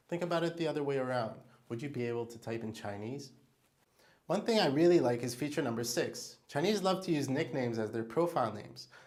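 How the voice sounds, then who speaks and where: A man with an Israeli accent speaks at a very fast pace. His pitch is medium, with ordinary pitch variation. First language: Hebrew. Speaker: diamond salesperson. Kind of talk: tutorial.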